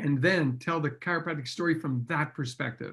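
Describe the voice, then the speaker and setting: A man with a Canadian accent, fairly high pitch and ordinary pitch variation. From French Canada. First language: French. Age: 60s. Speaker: chiropractor. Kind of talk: podcast interview. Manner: animated.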